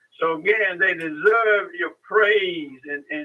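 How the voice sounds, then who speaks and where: A man with ordinary pitch variation. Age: 80s+. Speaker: caller, retired teacher. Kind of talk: radio call-in comment. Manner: halting, repetitive.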